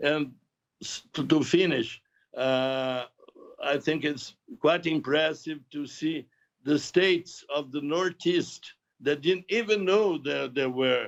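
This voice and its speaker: This man speaks at a very slow pace, with a fairly high pitch. His pitch varies in an ordinary way. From Brazil, Santos. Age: 80s+. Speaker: author. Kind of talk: interview. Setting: video call. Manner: halting, many fillers and repeats.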